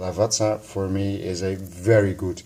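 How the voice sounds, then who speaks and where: A man speaks with a Dutch accent and a very deep, low pitch. His tone is dark and mellow, somewhat breathy. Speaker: audio and coffee vlogger. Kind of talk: unscripted vlog. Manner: halting, searching for words.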